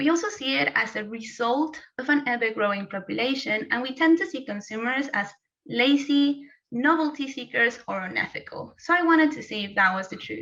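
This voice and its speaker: A high-pitched woman with a Spanish accent, fairly quick pace and lively intonation. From Mexico. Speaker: postgraduate student. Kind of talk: timed thesis presentation.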